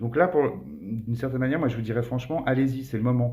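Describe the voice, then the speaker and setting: Speaking very fast, a man holds a medium pitch. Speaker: tarot card reader. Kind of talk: tarot reading monologue.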